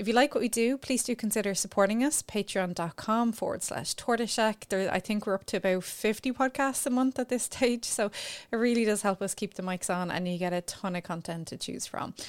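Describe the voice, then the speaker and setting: In an Irish accent, a woman speaks at a fairly quick pace and fairly high pitch with ordinary pitch variation, on a very clean, dry, close recording with no echo and a silent background. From Ireland. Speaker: podcast host, sexologist. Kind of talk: casual interview chat.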